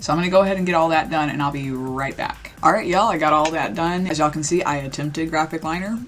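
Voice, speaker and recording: Against music in the background, the speech runs at a very fast pace. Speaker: beauty youtuber. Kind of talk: makeup tutorial. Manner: casual, chatty.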